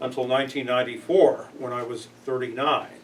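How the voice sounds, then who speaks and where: A man with an American accent speaks at a fairly high pitch and a moderate pace. Noticeable background noise is present. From Chicago, US Midwest. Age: 60s. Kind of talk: workplace presentation.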